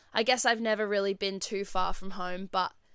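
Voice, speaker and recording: A woman with an Australian accent and a bright, sharp tone, in a very clean recording with a silent background. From Australia, Perth. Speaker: podcast host. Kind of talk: casual solo chat.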